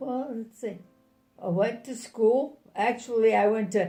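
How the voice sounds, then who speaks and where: With music in the background and audible room echo, a woman speaks at a fairly slow pace with a fairly high pitch and ordinary pitch variation. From New Jersey. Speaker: retired scientist and grandmother. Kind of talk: family interview. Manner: halting, many fillers.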